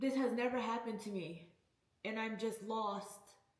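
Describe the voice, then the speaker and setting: Fairly even intonation and a fairly slow pace come through with audible room echo. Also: woman. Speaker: vlogger. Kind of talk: personal vlog.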